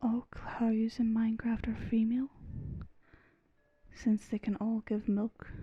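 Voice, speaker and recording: Soft-spoken and relaxed in tone, the speaker goes at a fairly slow pace with long, frequent pauses while music plays in the background. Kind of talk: soft-spoken gaming commentary for relaxation. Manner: soft-spoken, relaxed.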